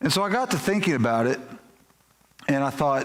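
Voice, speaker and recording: A man's fairly high voice in a Kentucky accent, with audible room echo. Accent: Kentucky Southern US. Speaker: pastor. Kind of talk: sermon.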